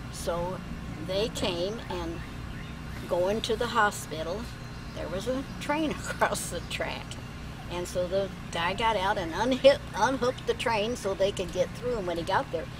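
Over noticeable background noise, a woman speaks with long, frequent pauses. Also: ordinary pitch variation, moderate pace. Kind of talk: storytelling to family. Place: garden. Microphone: camera far.

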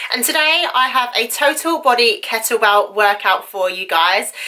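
The background is quiet as a woman speaks at a moderate pace. Her pitch is high. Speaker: fitness vlogger. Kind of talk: casual vlog chat. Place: home room. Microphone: phone near.

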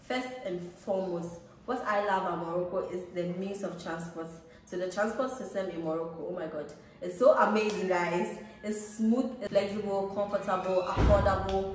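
A woman talks at a moderate pace with ordinary pitch variation. Light background noise and audible room echo are present. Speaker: travel vlogger. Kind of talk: casual vlog chat. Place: home room. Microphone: phone near.

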